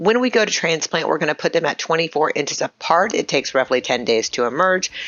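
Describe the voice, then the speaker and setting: Talking at a fairly quick pace, a woman with an American accent has a fairly low pitch. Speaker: gardening YouTuber. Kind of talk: tutorial. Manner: fast; casual, chatty.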